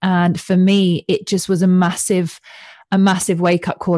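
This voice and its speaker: The voice is somewhat breathy. The sound is dry and close with no echo, over a quiet background. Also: woman. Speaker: podcast host and coach. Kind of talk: casual conversation.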